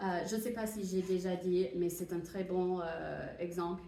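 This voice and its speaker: Over noticeable background noise and audible room echo, a woman of medium pitch speaks at a fairly slow pace. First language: English (speaking French). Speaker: university translation teacher. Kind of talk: lecture. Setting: classroom. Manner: hesitant, many fillers.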